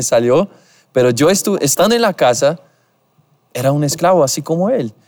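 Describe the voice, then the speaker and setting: The speech comes in a Portuguese accent with lively intonation. It moves at a fairly quick pace with long, frequent pauses. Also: man. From Brazil. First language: Portuguese (speaking Spanish). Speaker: podcast host. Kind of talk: casual interview chat. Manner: halting.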